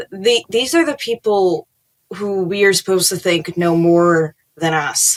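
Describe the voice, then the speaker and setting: Recorded with a dry, close sound and no echo, an unremarkable speaking voice with an American accent moves at a fairly slow pace with ordinary pitch variation. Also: woman, medium pitch for a woman. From New York City, Queens. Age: 20s. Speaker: political commentator. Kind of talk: casual chat.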